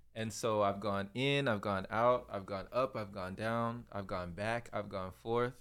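At a fairly slow pace, a man talks in an ordinary speaking voice, fairly low in pitch, with fairly even intonation. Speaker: guest, flute player and fasting practitioner. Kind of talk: casual interview conversation.

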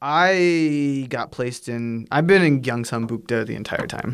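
Speaking at a very slow pace with a Pacific Northwest accent and ordinary pitch variation, this voice comes through on a very clean recording with a silent background. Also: man. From US, Washington State. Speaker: English teacher. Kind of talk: casual chat.

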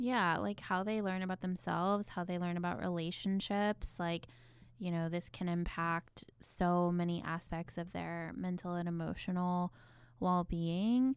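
A woman speaks in a plain, everyday voice, fairly low in pitch and at a fairly slow pace. The recording is very clean, with a silent background. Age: 30s. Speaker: therapist and podcast co-host. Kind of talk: casual chat. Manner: scripted intro reading.

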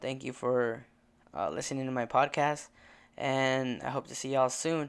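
A man with an American accent speaks at a moderate pace in an ordinary speaking voice. His medium pitch and fairly even intonation come through on a very clean recording with a silent background. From rural Illinois, US. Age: 20s. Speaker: podcast host. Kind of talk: casual personal monologue.

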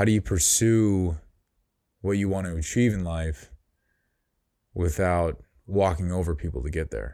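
With an American accent and a very deep, low pitch, a man speaks in a dark, mellow tone with ordinary pitch variation at a fairly slow pace, leaving long, frequent pauses, in a very clean recording with a silent background. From US Midwest, Chicago suburbs. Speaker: solo podcaster. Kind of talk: casual monologue. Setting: home, solo recording. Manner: relaxed.

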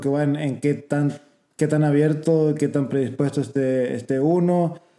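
A man with an Argentine accent speaks at a fairly slow pace and a fairly high pitch. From Argentina. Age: 30s. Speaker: podcast guest. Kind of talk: casual chat. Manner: halting.

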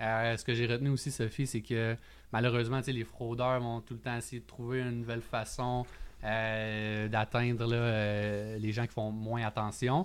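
On a very clean recording with a silent background, a man of medium pitch speaks at a fairly slow pace with monotone, flat intonation. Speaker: lawyer and podcast co-host. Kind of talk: casual chat.

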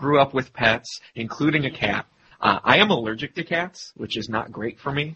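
Using a plain, everyday voice, a man talks at a moderate pace with ordinary pitch variation. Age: 30s. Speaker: podcast host. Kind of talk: casual chat.

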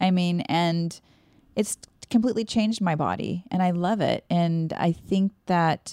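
A woman speaks with a dark, mellow tone and ordinary pitch variation. The sound is dry and close with no echo, on a very clean recording with a silent background. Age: 40s. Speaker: fitness coach and co-host. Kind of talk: casual chat.

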